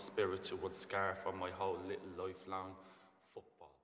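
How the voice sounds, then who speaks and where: A man speaks at a moderate pace, with audible echo from the room. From Ireland. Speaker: spoken word poet. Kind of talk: spoken word poetry performance.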